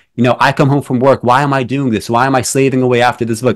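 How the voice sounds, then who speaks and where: Here a man uses a plain, everyday voice at medium pitch with fairly even intonation. The recording is very clean, with a silent background. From New York City, born in Belarus. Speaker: poet and film critic. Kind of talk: interview conversation. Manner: many fillers and restarts.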